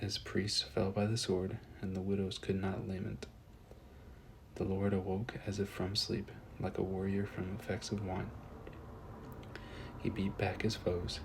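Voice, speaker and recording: Soft-spoken and somewhat breathy, a man speaks at a fairly low pitch with fairly even intonation. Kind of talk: soft-spoken scripture reading, ASMR. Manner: soft-spoken, relaxing.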